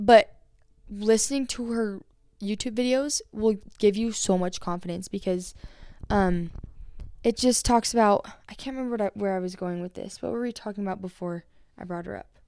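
A woman with a Utah accent speaks in a dark, mellow tone at a medium pitch and moderate pace, with ordinary pitch variation, big swings in loudness and long, frequent pauses, in a very clean recording with a silent background. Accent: American (Utah). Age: young. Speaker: poet and musician. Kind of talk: casual chat. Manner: many fillers and restarts.

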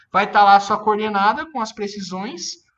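A raised, projected male voice, high-pitched with a bright, sharp tone. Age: 30s. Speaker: drone industry specialist. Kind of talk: interview.

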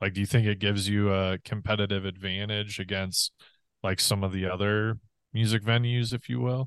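A man talks at a fairly quick pace with fairly low pitch and fairly even intonation, in a normal speaking voice. The sound is dry and close with no echo, over a quiet background. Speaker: podcast co-host. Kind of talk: casual podcast interview.

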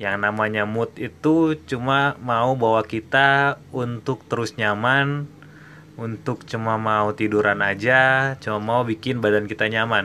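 The voice has a bright, sharp tone, moving at a fairly slow pace with ordinary pitch variation. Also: man. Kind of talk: pep talk, solo podcast monologue. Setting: solo podcast. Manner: animated, emphatic, urging listeners with repeated "oke, okay?".

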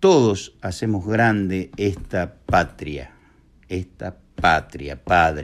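A man's voice, very deep and low in pitch, moves along at a very slow pace. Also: ordinary pitch variation. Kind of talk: recorded testimony.

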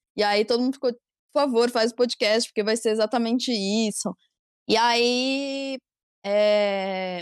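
A woman speaks in a normal speaking voice at a fairly slow pace, her pitch fairly high and her intonation fairly even, on a very clean recording with a silent background and a dry, close sound with no echo. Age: 20s. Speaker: youtuber. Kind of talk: casual chat.

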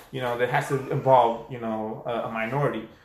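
Over noticeable background noise and audible room echo, a man speaks with fairly even intonation. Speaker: podcast co-host. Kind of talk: casual chat.

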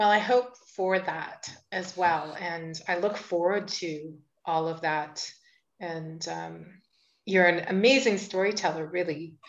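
Spoken at a fairly slow pace with ordinary pitch variation, this is a plain, everyday voice. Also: woman, fairly low pitch for a woman. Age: 50s. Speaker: podcast host. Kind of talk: casual interview conversation.

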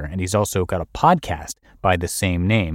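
Dry and close with no echo, this recording captures a man speaking. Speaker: podcast host and narrator. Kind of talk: reading aloud.

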